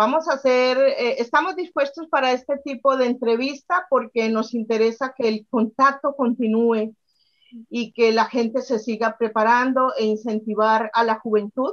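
A woman speaks against a quiet background. Her pitch is high. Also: ordinary pitch variation, fairly slow pace. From Colombia, Medellín. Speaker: spiritual workshop instructor. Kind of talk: interview conversation. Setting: video call. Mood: calm, earnest storytelling. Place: home room. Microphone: webcam.

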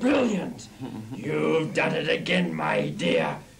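A raspy, theatrical cartoonish character voice from a man at a very slow pace, over clear background noise. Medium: puppet. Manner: theatrical, gloating.

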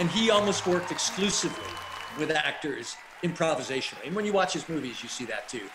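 Over crowd noise in the background, a man with an American accent and a high voice talks very fast. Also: lively intonation. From US. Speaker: casting director and acting coach; acting coach. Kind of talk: live Q&A interview. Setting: livestream video.

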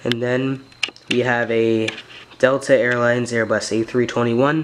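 A man speaks in a monotone, flat intonation. Light background noise is audible. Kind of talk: casual hobby showcase narration. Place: home room. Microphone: phone near.

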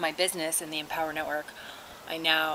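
Noticeable background noise sits behind a woman. Her very deep, low pitch stays monotone and flat. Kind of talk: casual vlog chat. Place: garden. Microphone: phone near.

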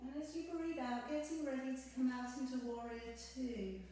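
This soft-spoken voice moves at a fairly slow pace with ordinary pitch variation, caught in strong room echo. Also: woman. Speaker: yoga instructor. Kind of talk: guided yoga class, calm step-by-step cueing synced to breath. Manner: slow, soothing, gentle and unhurried; soft-spoken, instructive, with pauses between cues. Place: home room. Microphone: camera far.

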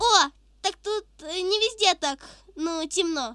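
In a put-on character voice, the speaker talks at an extremely high pitch and a fairly slow pace. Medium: dub. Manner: upbeat, excitable.

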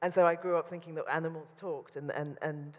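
A woman speaks with a London accent in a monotone, flat intonation. Her pace is moderate. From London, England. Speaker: painter; interviewee. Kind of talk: public talk; interview answer. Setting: stage with audience. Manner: halting. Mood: thoughtful, warm, smiling. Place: hall. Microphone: handheld.

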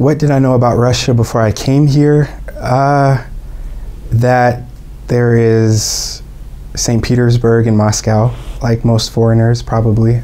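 A man with an American accent speaks at a fairly slow pace, leaving long, frequent pauses. His intonation is monotone and flat, and his loudness stays very even. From Atlanta, Georgia, USA. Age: 20s. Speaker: English teacher and musician. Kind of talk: interview answer. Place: studio.

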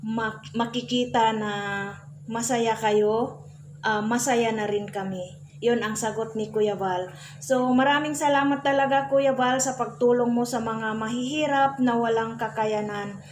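Here a woman talks at a fairly slow pace with ordinary pitch variation. Light background noise sits behind her. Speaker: vlogger recapping another channel's video. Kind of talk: casual vlog chat. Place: home room. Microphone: phone near.

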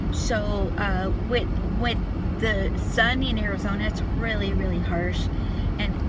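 A woman speaks at a fairly slow pace. Loud background noise runs behind her. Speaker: beauty and lifestyle vlogger. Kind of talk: casual talk to camera. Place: car. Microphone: phone near.

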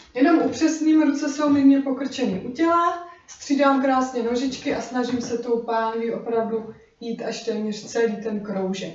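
A woman with a high pitch speaks at a fairly slow pace, using ordinary pitch variation. Audible room echo and light background noise are present. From Czech Republic. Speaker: dance instructor. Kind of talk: tutorial. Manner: rhythmic counting aloud. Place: kitchen. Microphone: camera far.

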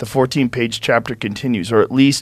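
The background is quiet and the sound dry with no echo as a man talks at a moderate pace. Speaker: podcast host. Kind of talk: reading aloud a text. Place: studio. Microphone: studio mic.

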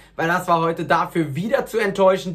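The man's high pitch moves with ordinary variation.

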